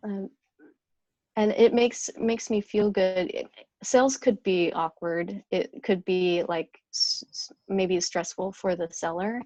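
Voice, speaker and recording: Soft-spoken at a medium pitch, a woman talks at a very slow pace in a dry, close sound with no echo. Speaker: top sales producer. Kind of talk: interview. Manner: halting.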